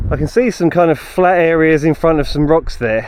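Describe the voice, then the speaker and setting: A man with a southern English accent, noticeable background noise behind him. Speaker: outdoor vlogger. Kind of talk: walking vlog narration. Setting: outdoors. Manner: casual, chatty.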